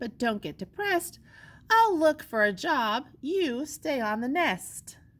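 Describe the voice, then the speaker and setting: This is a put-on character voice with very wide pitch swings. It moves at a fairly slow pace. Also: woman, high pitch for a woman. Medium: read story.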